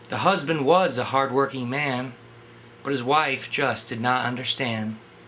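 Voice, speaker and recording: Over noticeable background noise, a man speaks fairly slowly at medium pitch with ordinary variation. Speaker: poet reading his own poem. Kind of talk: poetry reading.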